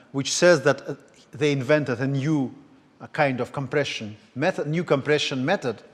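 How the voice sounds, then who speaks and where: A man speaks with a Russian accent. His pitch is fairly high and varies in an ordinary way. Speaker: lecturer. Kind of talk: lecture. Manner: halting.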